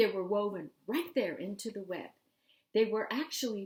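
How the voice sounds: A natural reading voice with ordinary pitch variation over a quiet background.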